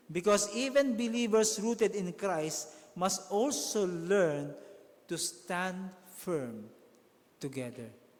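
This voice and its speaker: Over noticeable background noise, a man speaks at a very slow pace with a high pitch and very wide pitch swings. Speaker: pastor. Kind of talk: sermon delivered to a congregation.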